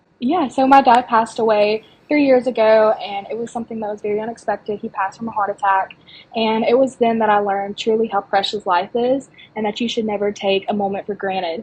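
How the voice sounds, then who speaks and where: Talking at a very fast pace, a woman has a fairly high pitch and a somewhat breathy sound. Her pitch varies in an ordinary way. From US South, small-town Alabama. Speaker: pageant contestant. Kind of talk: podcast interview.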